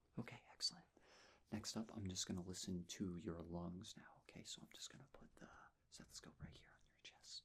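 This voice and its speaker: A man whispers at a fairly quick pace. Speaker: ASMR creator playing a nurse. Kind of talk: ASMR medical roleplay, soft-spoken personal attention. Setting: close-mic studio recording. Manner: soft-spoken, gentle, calming.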